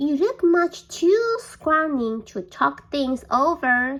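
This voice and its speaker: A woman's put-on character voice, high-pitched, at a very slow pace. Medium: read story.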